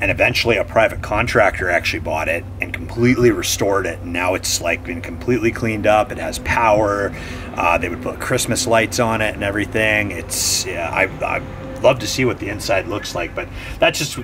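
Over noticeable background noise, a man talks fairly quickly in a fairly low voice with ordinary pitch variation. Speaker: vlogger exploring old buildings. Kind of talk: casual vlog chat. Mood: reflective, hopeful. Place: street.

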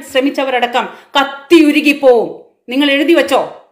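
A woman's animated tone against a quiet background. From Kerala, India. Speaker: political commentator, social media channel host. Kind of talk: political monologue / rant. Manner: impassioned, animated. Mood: earnest, indignant. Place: home room. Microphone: phone near.

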